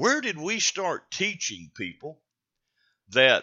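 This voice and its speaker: A man talks at a very slow pace in a Southern US accent. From North Carolina. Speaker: radio host. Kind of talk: talk radio monologue.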